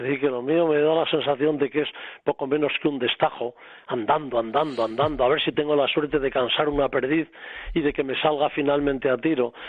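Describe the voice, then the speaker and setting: At a fairly quick pace, a man speaks in a fairly high pitch with a monotone, flat intonation. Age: 70s. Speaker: hunter and family member of a writer. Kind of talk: radio panel chat.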